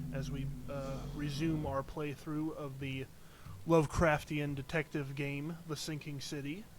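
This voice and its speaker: A man speaks quietly and fairly slowly. His fairly high voice is monotone and flat. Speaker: game streamer. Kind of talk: live gameplay commentary. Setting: live stream from home. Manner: quiet voice; hesitant, many fillers. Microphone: cheap mic, boosted input with hissing.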